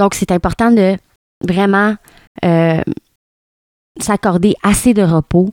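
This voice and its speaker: Speaking fairly slowly with a Quebec accent, a woman uses a medium pitch and fairly even intonation in a dry, close recording with no echo, very clean and with a silent background. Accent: Québécois French. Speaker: podcast host. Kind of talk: casual solo podcast talk. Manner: hesitant, many fillers and repetitions.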